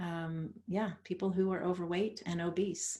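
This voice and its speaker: The speaker is a woman with a medium pitch and a somewhat breathy voice. She talks at a fairly slow pace. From Netherlands, then Canada from age 13. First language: Dutch. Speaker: author and coach. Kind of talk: interview conversation.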